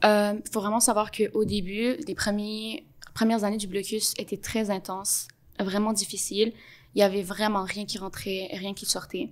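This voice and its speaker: Woman at medium pitch with monotone, flat intonation and a fairly slow pace. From Montreal, Quebec (born in Gaza). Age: 20s. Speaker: podcast guest, Palestinian Canadian. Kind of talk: interview testimony. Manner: hesitant with fillers.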